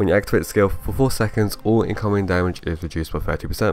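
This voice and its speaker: The speaker is male. His voice sits at a very deep, low pitch. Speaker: gaming video host. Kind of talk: game commentary, skill walkthrough. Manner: casual.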